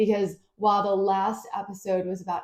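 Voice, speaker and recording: The woman's voice has a dark, mellow tone. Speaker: podcast host, photographer and business coach. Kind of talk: personal storytelling podcast monologue. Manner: casual, conversational.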